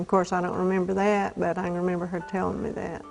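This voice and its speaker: A woman with an Appalachian accent and fairly even intonation, music in the background. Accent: Southern Appalachian American. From US South, north Georgia mountains. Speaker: elderly woman telling her life story. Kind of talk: oral history interview. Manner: halting, with self-corrections.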